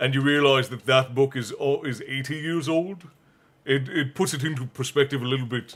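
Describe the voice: The clip consists of plain reading aloud.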